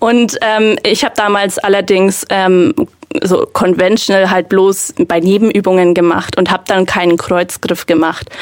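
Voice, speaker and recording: A woman speaks at a medium pitch and a fairly slow pace, with very even loudness and fairly even intonation, over noticeable background noise. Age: 20s. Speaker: powerlifter. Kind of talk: casual chat.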